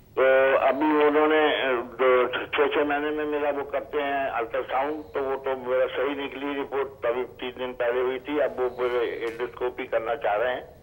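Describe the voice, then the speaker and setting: Intonation stays monotone and flat, with hardly any pauses. Background noise is noticeable. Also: man, fairly high pitch for a man. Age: 70s. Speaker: caller. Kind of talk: phone-in health question. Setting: phone call.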